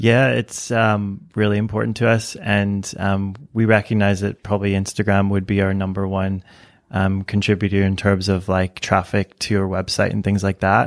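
On a very clean recording with a silent background, a man speaks at a moderate pace and a fairly low pitch with monotone, flat intonation. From Canada. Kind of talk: casual chat.

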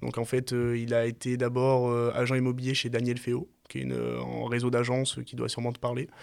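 Medium in pitch, a man's voice moves at a moderate pace. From France, Marseille. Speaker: startup founder. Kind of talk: podcast interview.

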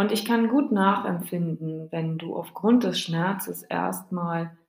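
A woman with a warm tone speaks at a very slow pace. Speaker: grief podcast host. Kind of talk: solo podcast monologue to listener. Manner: warm, personal direct address.

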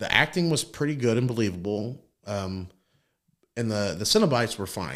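On a very clean recording with a silent background, a man talks at a moderate pace in a plain, everyday voice. His pitch is fairly low and his intonation lively. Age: 30s. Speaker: podcast co-host. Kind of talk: casual chat.

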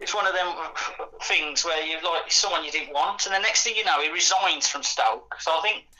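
A man with a high-pitched voice talks at a moderate pace with ordinary pitch variation over noticeable background noise. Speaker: football fan guest.

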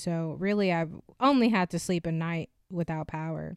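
On a very clean recording with a silent background, a woman speaks with an American accent. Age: 20s. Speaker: podcast co-host. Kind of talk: casual chat.

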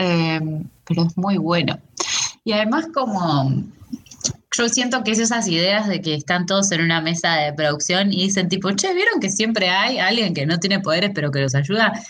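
A woman's medium-pitched voice at a moderate pace, lively in intonation and very even in loudness, with audible room echo and noticeable background noise. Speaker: podcast co-host. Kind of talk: casual chat.

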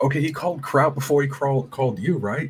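His speech is very fast. A somewhat breathy tone marks this man's voice. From San Antonio, Texas. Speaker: caller.

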